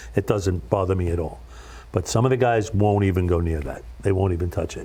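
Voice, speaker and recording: With an American accent, a man speaks fairly quickly in a very deep, low pitch, his dark, mellow tone showing vocal fry and ordinary pitch variation. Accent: Brooklyn accent, toned down a little. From Brooklyn, New York. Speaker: radio DJ. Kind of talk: casual interview chat. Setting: TV studio.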